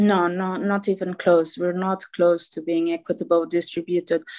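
With a Portuguese accent, a woman speaks at a moderate pace and medium pitch, the sound dry and close with no echo against a quiet background. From Portugal. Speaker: politician and medical doctor. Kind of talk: interview.

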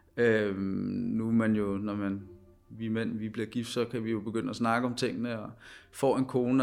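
Male voice in a very clean recording with a silent background. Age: 20s. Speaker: former professional footballer. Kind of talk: interview, personal story. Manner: halting, many fillers and repetitions.

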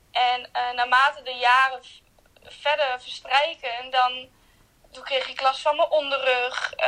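Raised and projected, a woman's high-pitched voice moves very slowly in a flat monotone, with big swings in loudness over noticeable background noise. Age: 20s. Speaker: hospital ward assistant with a chronic illness. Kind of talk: personal testimony interview. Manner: hesitant, many fillers.

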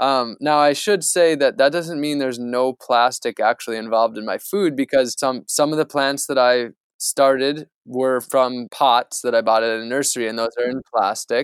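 On a very clean, dry, close recording with a silent background and no echo, a man with an American accent speaks in a normal speaking voice at medium pitch and a moderate pace, with ordinary pitch variation and hardly any pauses. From United States. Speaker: environmental activist. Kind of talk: interview.

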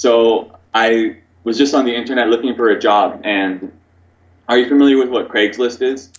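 The pace is moderate, with fairly even intonation and an American accent. It is an unremarkable speaking voice. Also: man, medium pitch for a man. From US West Coast, Oregon. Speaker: English teacher. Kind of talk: casual interview.

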